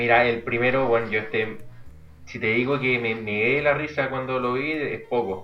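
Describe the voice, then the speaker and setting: Speaking with a Chilean accent at a moderate pace, a man keeps a medium pitch and fairly even intonation amid noticeable background noise and audible room echo. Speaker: podcast co-host. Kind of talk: casual chat.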